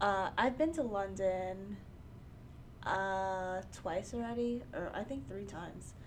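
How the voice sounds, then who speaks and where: A woman speaks at a very slow pace in an American accent, her medium pitch moving with ordinary variation, and audible room echo surrounds her voice. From New York, Queens. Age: 20s. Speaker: podcast host. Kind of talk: casual chat.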